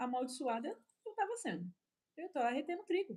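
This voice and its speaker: The voice has a dark, mellow tone and races along at a very fast pace with very wide pitch swings. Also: woman. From Brazil, São Paulo. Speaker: preacher. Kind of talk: sermon. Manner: animated.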